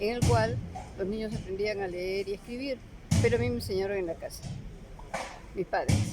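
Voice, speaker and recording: Music plays in the background as a woman speaks with a Peruvian accent. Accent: Peruvian Spanish (Lima). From Peru, Lima. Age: 70s. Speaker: retired teacher. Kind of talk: interview.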